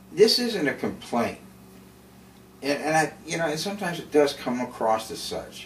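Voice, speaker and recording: Over noticeable background noise, a man's voice moves through very wide pitch swings. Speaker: video blogger living with MS. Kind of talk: casual monologue. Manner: halting, hesitant; slow, effortful.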